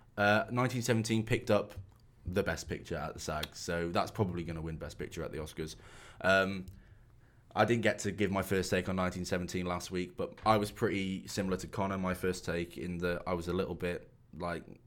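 This man has a very deep, low pitch and a Shropshire accent. He talks at a fairly quick pace on a very clean recording with a silent background. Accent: English Midlands (Shropshire). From England, Shropshire. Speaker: podcast co-host. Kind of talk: casual chat.

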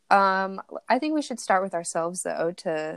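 A woman's fairly low voice, clear, smooth tone, moderate pace

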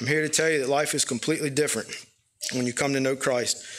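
His intonation stays fairly level. The man's pitch is medium. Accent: Southern US. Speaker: church member. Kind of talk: testimony. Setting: church. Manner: halting.

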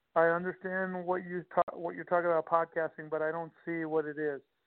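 The speech comes at a very fast pace in a New York accent. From Long Island, New York. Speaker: conference founder. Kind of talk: interview.

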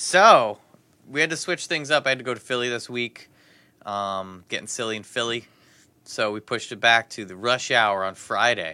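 A man's bright, sharp voice at a medium pitch, moderate pace, ordinary pitch variation and big swings in loudness, on a very clean recording with a silent background. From New Jersey. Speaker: podcast host. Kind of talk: casual chat.

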